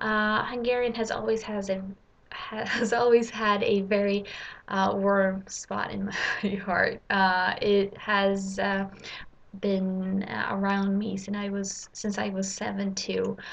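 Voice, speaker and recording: In a Swedish accent, a woman of medium pitch speaks in a flat monotone at a very slow pace. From Sweden. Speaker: language learner. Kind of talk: casual vlog. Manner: halting, many fillers.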